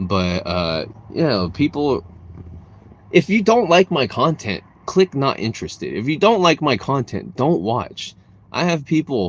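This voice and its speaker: A man talks with an American accent and a vocal fry. His pitch swings very widely. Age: 30s. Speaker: streamer, content creator. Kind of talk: live stream chat. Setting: live stream. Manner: casual, filler-heavy.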